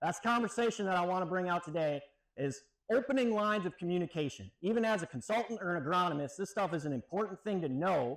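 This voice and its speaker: Loud and very fast, a man with an American accent speaks at a high pitch with lively intonation. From Wisconsin. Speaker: extension weed scientist, professor. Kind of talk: keynote lecture. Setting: stage with audience. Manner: casual, conversational. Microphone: no microphone, speaking unamplified.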